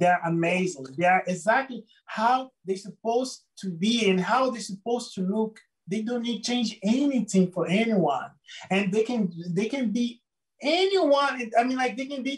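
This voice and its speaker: With a Brazilian Portuguese accent, a man talks at a high pitch. His tone is animated and enthusiastic, and his intonation is lively. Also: moderate pace. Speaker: photographer. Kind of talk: interview. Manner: animated, enthusiastic; halting, many repeated words.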